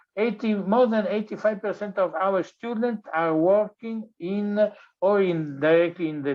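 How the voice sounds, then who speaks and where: This man speaks with an Italian accent. His pace is fairly slow. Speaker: design professor. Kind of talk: lecture. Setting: online webinar. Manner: halting, many fillers.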